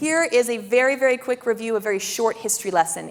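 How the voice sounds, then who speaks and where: A woman speaks with a high pitch over noticeable background noise. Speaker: river district staff presenter. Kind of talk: public presentation. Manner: fast.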